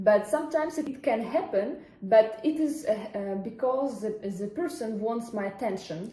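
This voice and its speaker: A woman with a fairly high pitch and lively intonation talks at a moderate pace over noticeable background noise. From Ukraine (Odessa). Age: 20s. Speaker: French teacher. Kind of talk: interview. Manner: halting.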